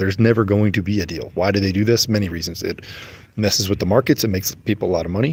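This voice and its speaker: Quiet, somewhat breathy speech in an American accent at a very fast pace. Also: man. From United States. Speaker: religious livestreamer. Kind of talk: casual livestream talk. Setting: airport. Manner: trying to talk quietly; animated.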